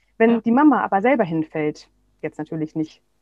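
A plain, everyday voice from a woman at medium pitch, fairly quick in pace, with lively intonation. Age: 40s. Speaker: parenting coach and psychotherapy practitioner. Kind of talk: interview.

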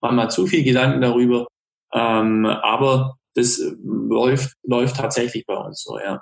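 The speaker is a man with a medium pitch. His intonation is monotone and flat. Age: 30s. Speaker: restaurateur and hunter. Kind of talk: casual interview.

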